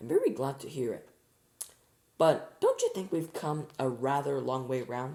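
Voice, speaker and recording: Putting on a raspy character voice, a man speaks at a moderate pace in a fairly high pitch, his loudness swinging widely. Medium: read story. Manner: prim, disapproving.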